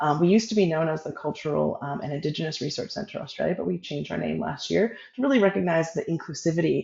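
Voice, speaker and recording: Speaking at a very fast pace with an American accent, the voice comes through over noticeable background noise. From US, Oregon. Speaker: evaluation researcher. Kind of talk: webinar interview. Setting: video call.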